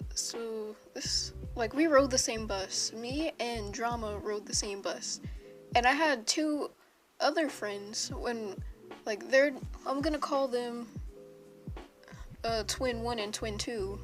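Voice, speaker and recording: Over music in the background, a woman with a fairly high pitch speaks at a very slow pace, with long, frequent pauses and ordinary pitch variation. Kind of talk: casual storytime talk to camera. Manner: unscripted, hesitant, stumbling.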